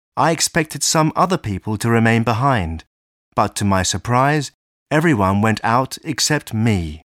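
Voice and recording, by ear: With lively intonation, someone is reading aloud in a natural voice over a quiet background.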